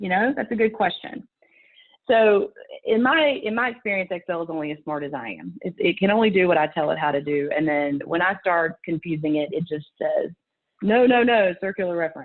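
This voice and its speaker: Speaking at a fairly quick pace with lively intonation, a woman has a Southern US accent. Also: medium pitch for a woman. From US South. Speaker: conference speaker, procurement professional. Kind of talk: conference presentation. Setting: video call. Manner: animated.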